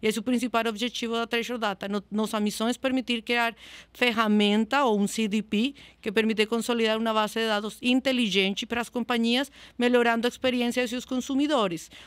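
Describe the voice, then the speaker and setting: A woman with a Spanish accent, monotone and flat, in a dry, close sound with no echo and a very clean recording with a silent background. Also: fairly high pitch for a woman, fairly quick pace. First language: Spanish (speaking Portuguese). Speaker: customer success manager. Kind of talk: podcast interview. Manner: halting.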